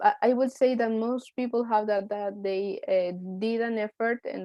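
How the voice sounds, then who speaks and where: A woman's fairly high voice with a Spanish accent, flat and monotone, at a fairly slow pace. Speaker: university student. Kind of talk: group discussion. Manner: halting.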